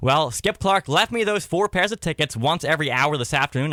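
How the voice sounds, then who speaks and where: A man speaks in a fairly high pitch at a very fast pace. His tone is upbeat, with lively intonation. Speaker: country radio DJ. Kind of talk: radio show host patter and contest calls. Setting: radio studio. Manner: upbeat, friendly.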